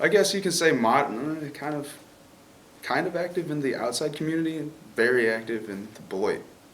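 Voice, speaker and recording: Audible room echo surrounds a man speaking. His fairly high voice has lively intonation. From Chicago. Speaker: college student. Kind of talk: interview.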